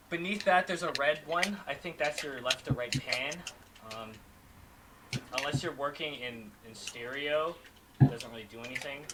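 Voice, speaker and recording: Over noticeable background noise, a man with a fairly high voice speaks at a moderate pace, with big swings in loudness, ordinary pitch variation, and long, frequent pauses. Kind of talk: casual chat. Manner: halting.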